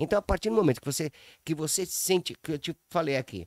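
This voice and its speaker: A man speaks with lively intonation on a very clean recording with a silent background and a dry, close sound with no echo. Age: 60s. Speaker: businessman. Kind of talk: casual chat. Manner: halting, repetitive.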